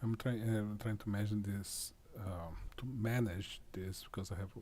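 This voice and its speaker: A man with a non-native accent speaks at a fairly low pitch, somewhat breathy, with fairly even intonation. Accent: foreign accent, self-noted. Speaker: tech demonstrator. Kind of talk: tutorial. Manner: halting.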